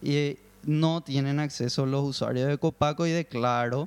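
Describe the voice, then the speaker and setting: Here is a man with an ordinary speaking voice, pitched fairly high, with fairly even intonation. The sound is dry and close, with no echo. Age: 30. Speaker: online gaming company guest. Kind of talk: casual chat.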